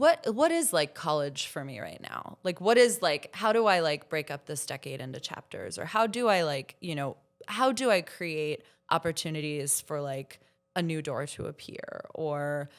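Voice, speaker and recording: A woman has a plain, everyday voice with a fairly low pitch and lively intonation. She keeps a moderate pace, with big swings in loudness. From Florida. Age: 30s. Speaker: journalist and podcast host. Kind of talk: casual chat. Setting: stage with audience.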